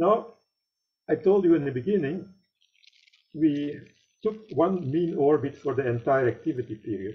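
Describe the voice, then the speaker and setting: A man with a fairly high pitch talks at a moderate pace, somewhat breathy, with lively intonation. He leaves long, frequent pauses. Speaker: amateur meteor researcher. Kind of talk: conference presentation.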